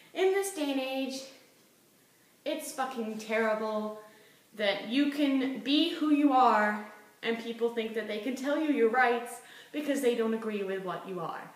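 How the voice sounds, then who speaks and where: A woman speaks at a high pitch with lively intonation. Some room echo is audible. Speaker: vlogger. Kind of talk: casual monologue vlog. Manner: fast; animated.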